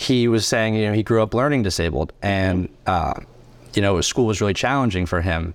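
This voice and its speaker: In a normal speaking voice, a man talks at a moderate pace, his pitch fairly low with ordinary pitch variation. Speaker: podcast host, college student. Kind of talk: casual interview chat.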